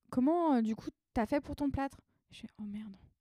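A woman's dark, mellow tone with lively intonation, at a moderate pace, in a dry, close sound with no echo. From Paris region, France. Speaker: artist. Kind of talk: casual chat.

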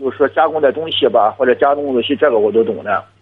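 Delivering his words fairly quickly, a man talks in a mid-range pitch. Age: 40s. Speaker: caller, laid-off factory technician. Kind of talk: phone-in advice call. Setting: phone call. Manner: halting.

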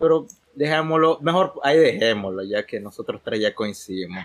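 A man speaks at a moderate pace in an unremarkable speaking voice. His intonation is lively. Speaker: podcast co-host. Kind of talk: casual chat.

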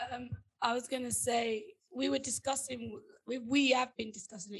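This woman has a fairly high pitch with vocal fry and ordinary pitch variation. She talks at a moderate pace, broken by long, frequent pauses. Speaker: podcast co-host. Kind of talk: casual chat.

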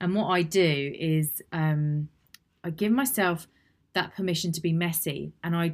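Over a silent background on a very clean recording, the speech moves at a fairly slow pace with ordinary pitch variation. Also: woman. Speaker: solo podcast host, personal development coach. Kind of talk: solo podcast monologue, guidance tutorial. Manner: animated.

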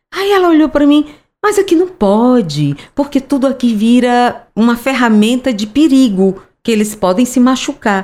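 A woman's high-pitched voice, dark and mellow in tone, with very wide pitch swings. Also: moderate pace, hardly any pauses. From Fortaleza, Ceará, Brazil. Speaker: author and businesswoman. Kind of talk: interview. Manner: animated.

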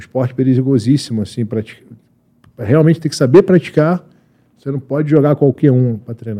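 Here is a man with an ordinary speaking voice, medium in pitch and fairly quick in pace. His pitch variation is ordinary, while his loudness swings a lot. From Lebanon. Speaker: Olympic wrestler and coach. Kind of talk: casual interview.

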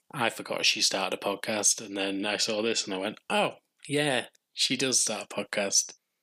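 A man with an English accent speaks at a moderate pace with fairly even intonation. His tone is bright and sharp, and his pitch is fairly low. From England. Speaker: podcast host. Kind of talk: solo TV recap podcast.

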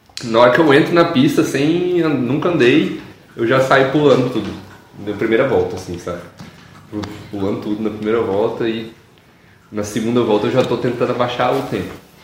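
A man speaks at a moderate pace in a medium pitch with ordinary pitch variation, leaving long, frequent pauses, and audible room echo surrounds him. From Goiás, Brazil. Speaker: motocross rider and coach. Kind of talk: casual chat. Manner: casual slangy.

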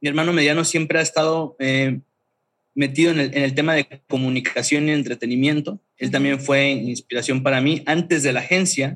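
Using a plain, everyday voice, a man talks at a moderate pace and a fairly high pitch. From Mexico, Chiapas (Tuxtla Gutiérrez). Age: 30s. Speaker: creative agency founder. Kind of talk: casual interview.

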